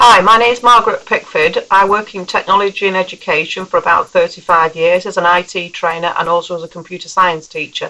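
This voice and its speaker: In a northern English accent, a woman talks at a very fast pace with hardly any pauses, her medium-pitched voice holding fairly even intonation against noticeable background noise. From northern England. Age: 50s. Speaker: computer science teacher. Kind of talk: recorded voice message.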